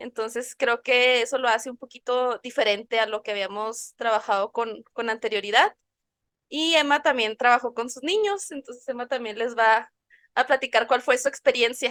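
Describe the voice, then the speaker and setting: The woman's high-pitched voice comes across dry and close, with no echo. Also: ordinary pitch variation, moderate pace, very clean recording, silent background. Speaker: podcast co-host. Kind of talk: casual chat. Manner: animated.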